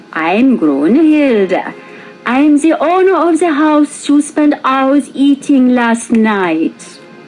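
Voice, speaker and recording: Over clear music in the background, a female-sounding, put-on character voice speaks very slowly at a high pitch. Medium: read story. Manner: sugary, grandmotherly.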